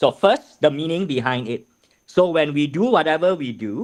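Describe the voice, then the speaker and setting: Using an ordinary speaking voice, a man with a fairly high pitch speaks at a moderate pace with lively intonation. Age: 50s. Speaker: math teacher trainer. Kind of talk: lecture.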